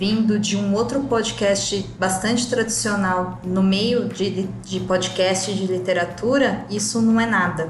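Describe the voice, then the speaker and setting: A woman talks very slowly at a medium pitch. Noticeable background noise and audible room echo fill the recording. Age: 30s. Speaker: historian and podcaster. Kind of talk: recorded statement.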